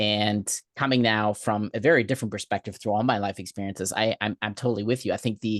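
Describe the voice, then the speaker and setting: A man with a fairly low pitch talks at a very fast pace with fairly even intonation. The sound is dry and close with no echo, and the background is quiet. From Germany. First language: German. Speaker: life coach. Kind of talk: casual chat.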